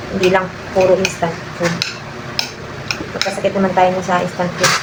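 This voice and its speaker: A soft-spoken woman talks at a fairly quick pace with a medium pitch and a monotone, flat intonation, leaving long, frequent pauses amid audible room echo and noticeable background noise. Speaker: vlogger and mother. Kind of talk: casual vlog talk.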